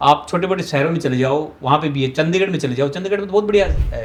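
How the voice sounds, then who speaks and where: This man has an ordinary speaking voice, fairly high in pitch with ordinary pitch variation. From Rewari, Haryana, India. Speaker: traffic police officer. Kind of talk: interview answer.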